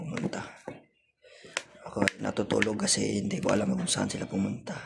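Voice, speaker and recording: A man speaks at a very fast pace, broken up by long, frequent pauses. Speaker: vlogger. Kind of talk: casual vlog. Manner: repetitive, casual.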